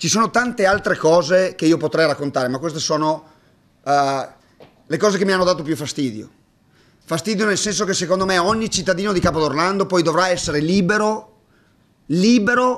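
Against a quiet background, a man speaks at a high pitch with ordinary pitch variation. He takes long, frequent pauses. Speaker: basketball coach. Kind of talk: press conference monologue. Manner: hesitant, halting. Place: hall. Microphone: podium.

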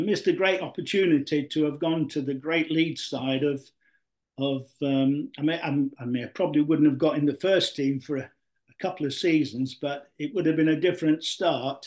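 With a Yorkshire accent, a man speaks at a moderate pace and fairly high pitch, his intonation fairly even over a quiet background. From South Yorkshire (Mexborough); South Yorkshire. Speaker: retired professional footballer; guest. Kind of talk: interview. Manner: hesitant, repetitive. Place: home room. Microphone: video call.

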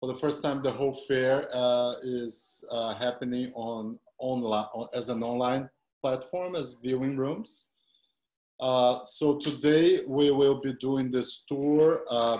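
The speech moves at a very slow pace. The background is quiet, with audible room echo. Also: man. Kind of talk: guided tour presentation. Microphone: video call.

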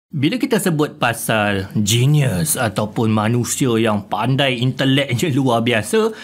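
A man is speaking. His pace is very slow. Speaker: podcast host. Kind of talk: podcast interview.

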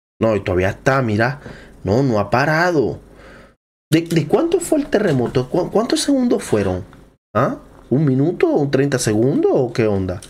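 At a fairly slow pace with long, frequent pauses, a man speaks with vocal fry, a fairly high pitch and very wide pitch swings. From Venezuela. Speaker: YouTuber. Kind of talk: reaction video commentary. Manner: animated. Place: home room. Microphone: studio mic.

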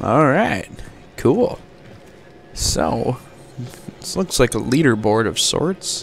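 Amid noticeable background noise, a man of medium pitch speaks at a very slow pace, his pitch swinging very widely, with long, frequent pauses. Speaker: gaming YouTuber. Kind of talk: casual gameplay commentary. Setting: home recording, voiceover on gameplay. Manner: casual, low-energy, chatty.

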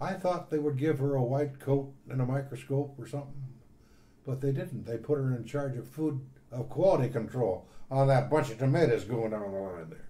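The voice has a dark, mellow tone, is somewhat breathy and comes in an American accent. Audible room echo surrounds it. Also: man, medium pitch for a man, ordinary pitch variation, moderate pace. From US Midwest, northwest Indiana. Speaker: retired university staff member. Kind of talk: oral history interview. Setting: at home.

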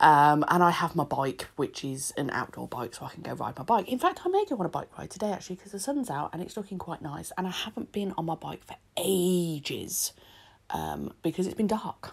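Speaking at a fairly quick pace, a woman has a fairly low pitch and a British accent. Her loudness swings widely. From UK. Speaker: nail art content creator. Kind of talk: tutorial voiceover. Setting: home recording. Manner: chatty. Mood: relaxed and cheerful.

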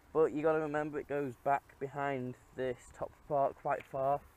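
A man talks with fairly even intonation in a dry sound with no echo. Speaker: car owner vlogger. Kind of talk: casual vlog chat. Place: open country. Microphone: phone near.

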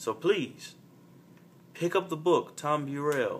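An American accent marks this man's fairly high pitch, with ordinary pitch variation. He talks at a moderate pace over light background noise. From US South, Montgomery, Alabama; Alabama. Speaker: college student vlogger; vlogger discussing a book. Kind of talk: solo video monologue. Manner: halting, with many fillers. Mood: earnest, thoughtful. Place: home room. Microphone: phone near.

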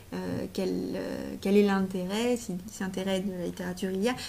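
Speaking at a moderate pace, a woman with a medium pitch uses fairly even intonation, a dark, mellow tone and vocal fry.

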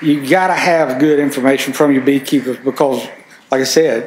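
Speaking with a Mississippi accent, a man talks at a fairly quick pace and fairly high pitch with fairly even intonation, and the room echo is audible. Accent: Southern US (Mississippi). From Mississippi, US South. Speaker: farm organization environmental coordinator; conference presenter. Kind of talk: conference presentation. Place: meeting room. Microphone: camera far.

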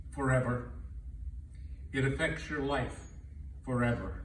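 A man speaks very slowly. Audible room echo and light background noise surround his voice. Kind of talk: speech. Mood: solemn, reflective. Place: hall. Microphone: camera far.

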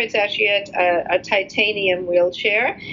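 A woman with an American accent at a fairly slow pace, over noticeable background noise. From New York, US. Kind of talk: casual interview.

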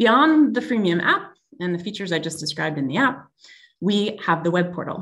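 Speaking at a fairly quick pace with lively intonation, a woman with a Canadian accent has a fairly low pitch. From Canada. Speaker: tech company executive; presenter. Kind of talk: webinar presentation. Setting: video call. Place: home room. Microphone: video call.

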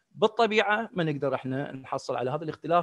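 A man talking at a very fast pace, dry with no echo, over a quiet background. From Iraq. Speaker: professor. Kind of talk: lecture. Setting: video call. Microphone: video call.

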